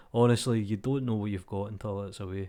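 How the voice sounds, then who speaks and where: A man with a Glasgow accent and a dark, mellow tone. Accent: Glasgow Scottish. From Scotland. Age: 30s. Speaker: 3D artist. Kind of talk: casual talk to camera. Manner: informal, ranting.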